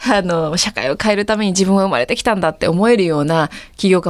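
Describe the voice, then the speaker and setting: A woman's medium-pitched voice at a very fast pace. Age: 30s. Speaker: startup founder and CEO. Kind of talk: interview.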